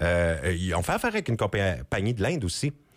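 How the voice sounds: A man at a fairly quick pace, his pitch fairly low.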